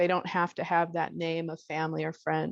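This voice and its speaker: In a quiet background with a dry, close sound and no echo, a woman with a fairly low pitch speaks in a monotone, flat intonation. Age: 60s. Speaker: workshop participant asking a question. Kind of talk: personal question in group session. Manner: hesitant.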